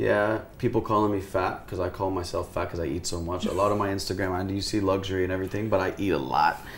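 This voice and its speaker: A man with an American accent talks very fast in a very deep, low voice with fairly even intonation over noticeable background noise. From US, Houston, Texas. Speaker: influencer and talent manager. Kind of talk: casual interview chat.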